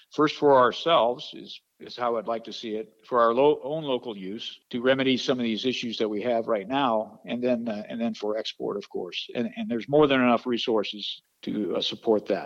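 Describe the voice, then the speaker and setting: Talking at a moderate pace with hardly any pauses, a man keeps a medium pitch and fairly even intonation while his loudness swings widely. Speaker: political candidate, retired Air Force general. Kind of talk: interview soundbite. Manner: hesitant, filler-heavy.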